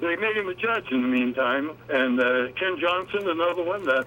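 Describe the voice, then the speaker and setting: Against noticeable background noise, a man at a fairly high pitch speaks at a moderate pace with ordinary pitch variation. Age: 80s+. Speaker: author and activist. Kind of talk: talk radio interview. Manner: halting, many fillers.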